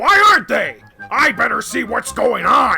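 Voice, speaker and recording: A man's raised, projected put-on character voice over faint background music. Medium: fan dub. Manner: loud, brash.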